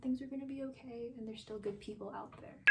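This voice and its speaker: A woman with an American accent speaks in a somewhat breathy voice with fairly even intonation. Light background noise is present. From New York. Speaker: artist. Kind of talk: interview testimony. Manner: casual, hesitant with fillers. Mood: reflective, emotional, hopeful. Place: home room.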